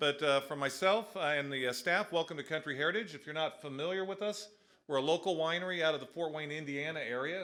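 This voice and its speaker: Over noticeable background noise, a man with a fairly high pitch talks very fast, with hardly any pauses. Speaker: winery owner. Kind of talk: welcome announcement. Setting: winery venue with live audience.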